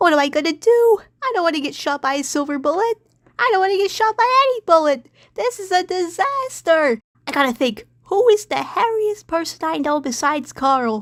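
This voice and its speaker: An extremely high, squeaky cartoonish character voice speaks at a moderate pace. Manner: excitable, naive, rambling.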